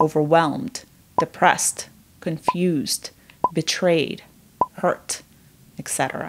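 Her voice is fairly low in pitch, with a calm, soothing tone. The woman speaks at a very slow pace. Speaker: therapist. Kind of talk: guided meditation. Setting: video. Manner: slow, calm, soothing; gentle, with long pauses.

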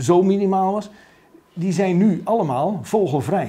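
Speaking at a very slow pace, a man has a dark, mellow tone. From rural Netherlands. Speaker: politician. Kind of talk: interview. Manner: halting. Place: office.

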